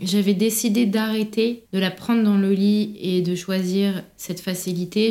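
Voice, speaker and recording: A woman speaks in a flat, monotone way. Her tone is dark and mellow, at a medium pitch, and somewhat breathy. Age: 20s. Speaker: prenatal yoga business founder. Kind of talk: personal testimony in casual interview.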